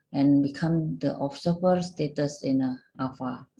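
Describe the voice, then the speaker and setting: The voice is somewhat breathy with a dark, mellow tone. Its pitch varies in an ordinary way. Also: woman. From Indonesia. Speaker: association secretary general. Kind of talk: presentation. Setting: video call. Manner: halting, many fillers.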